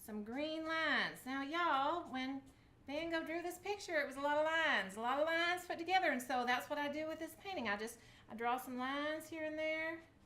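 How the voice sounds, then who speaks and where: Upbeat and bright, sharp in tone, a woman speaks at a high pitch. Her voice is raised and projected, and her pace is fairly quick. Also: ordinary pitch variation. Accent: Southern US. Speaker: craft video host. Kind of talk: casual craft tutorial to camera. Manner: chatty, upbeat.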